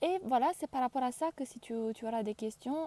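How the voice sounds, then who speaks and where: A woman's fairly high voice with a non-native accent and ordinary pitch variation, in a dry, close sound with no echo. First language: not French (speaking French). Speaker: career change coach. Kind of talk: live stream talk. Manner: halting, frequent hesitations; deliberate, careful word choice.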